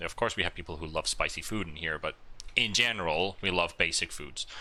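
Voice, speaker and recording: A man with a slight Finnish accent talks at a moderate pace, his bright, sharp tone touched by vocal fry. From Finland. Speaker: esports commentator. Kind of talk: live commentary.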